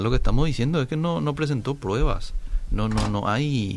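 A plain, everyday voice from a man, with lively intonation at a moderate pace. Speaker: radio host. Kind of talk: radio call-in talk show.

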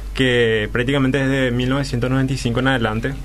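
Audible room echo hangs around a man's voice. Noticeable noise also sits in the background. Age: 20s. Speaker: university student. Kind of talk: radio interview.

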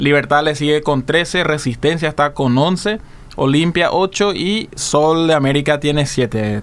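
An ordinary speaking voice from a man, fairly high in pitch, with ordinary pitch variation and very even loudness. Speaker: radio co-host, sports segment. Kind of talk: sports news and story on radio.

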